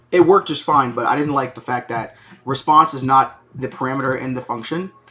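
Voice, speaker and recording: A man talks at a very fast pace in a medium pitch. His pitch varies in an ordinary way, with noticeable background noise behind him. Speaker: programming professor. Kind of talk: lecture. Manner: casual, conversational.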